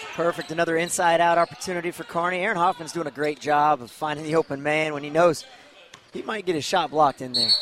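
A man talks at a very fast pace in a fairly high pitch, with fairly even intonation. His loudness swings widely, and there is noticeable background noise. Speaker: color commentator. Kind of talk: casual analytic color commentary. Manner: folksy, halting with fillers.

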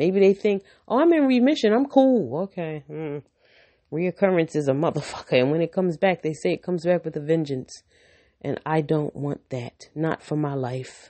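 A woman with a very deep, low voice sounds animated, speaking at a moderate pace with lively intonation. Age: 50s. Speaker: Navy veteran and breast cancer patient. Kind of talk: personal monologue vlog.

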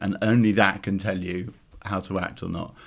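In a London accent, a man speaks at a fairly low pitch with fairly even intonation, captured in a very clean recording with a silent background. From London, Clapham. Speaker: travel company founder. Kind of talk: casual interview. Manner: halting, many fillers and restarts.

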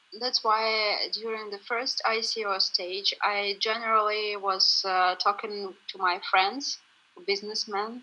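A woman's fairly high, monotone, flat voice at a very slow pace, over noticeable background noise. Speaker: customer support manager, interpreter. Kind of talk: interview.

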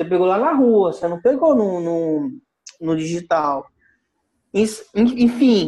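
Lively intonation marks this man's high-pitched voice. He talks at a fairly slow pace. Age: 30s. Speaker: course student. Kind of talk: casual discussion.

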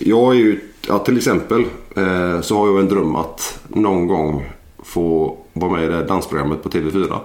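A man's very deep, low voice at a moderate pace, with ordinary pitch variation and audible room echo. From Gothenburg area, western Sweden. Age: 40s. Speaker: former Olympic wrestler and personal trainer. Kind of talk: casual interview. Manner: hesitant, many filler sounds.

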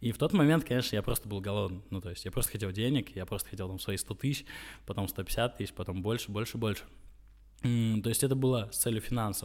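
A man speaks very fast at a fairly low pitch with ordinary pitch variation. The recording is very clean, with a silent background. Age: 20s. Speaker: entrepreneur. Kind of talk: interview. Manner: halting, many filler sounds.

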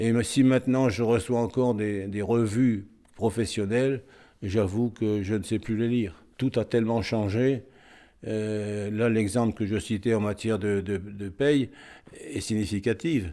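A man speaks at a fairly slow pace in a fairly low pitch with a dark, mellow tone, on a very clean recording with a silent background. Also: fairly even intonation. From northern France, Cambrai. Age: 80s. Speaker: retired accountant. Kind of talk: interview testimony. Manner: halting, with repetitions.

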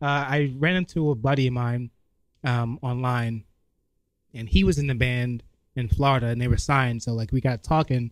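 A man with a New York accent at medium pitch, moderate in pace with long, frequent pauses and ordinary pitch variation. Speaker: comedian. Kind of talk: casual chat. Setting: studio. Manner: casual and laid-back.

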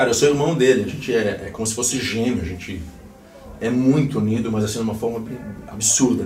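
Noticeable background noise and audible room echo surround a man speaking fairly quickly at a medium pitch. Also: ordinary pitch variation. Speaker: rock musician. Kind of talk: casual interview. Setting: band rehearsal room.

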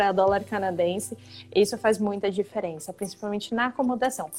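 A woman with an ordinary speaking voice, fairly quick pace and ordinary pitch variation. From Brazil, São Paulo. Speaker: college representative. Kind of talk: live Q&A webinar.

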